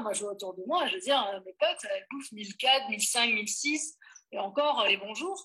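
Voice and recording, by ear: Lively intonation carries a bright, sharp tone with a slightly husky edge at a fairly quick pace. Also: woman.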